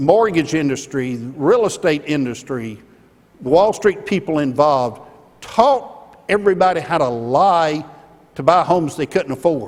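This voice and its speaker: In an Alabama accent, the speaker goes at a fairly slow pace with lively intonation. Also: man, fairly high pitch for a man. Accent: Southern US (Alabama). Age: 60s. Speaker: keynote speaker, former company executive. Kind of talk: keynote speech. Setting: conference stage with audience.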